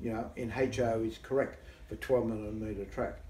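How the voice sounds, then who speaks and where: Amid audible room echo, a man speaks with fairly even intonation. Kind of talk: interview answer. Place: home room. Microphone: camera far.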